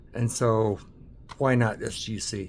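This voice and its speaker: Here a man with a medium-pitched voice speaks with an American accent. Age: 60s. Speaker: card collector YouTuber. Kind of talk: casual vlog monologue. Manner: hesitant, many fillers.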